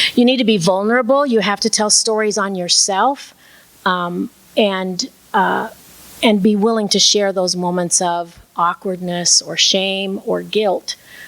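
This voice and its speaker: Over noticeable background noise, a woman speaks at a fairly slow pace and a medium pitch. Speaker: minister and storyteller. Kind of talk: talk on preaching and storytelling.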